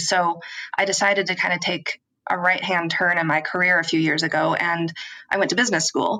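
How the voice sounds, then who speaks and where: Talking at a very fast pace, a woman has an American accent and a medium pitch. Her tone is bright and sharp, with vocal fry. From US, rural Washington State. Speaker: philanthropy advisor, business owner. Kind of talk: podcast interview. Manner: many filler ums.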